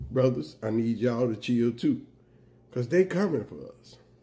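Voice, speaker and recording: The man's voice has a dark, mellow tone and is somewhat breathy. His pitch makes very wide swings. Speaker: political commentator vlogger. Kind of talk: monologue rant to camera. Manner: emphatic, urgent.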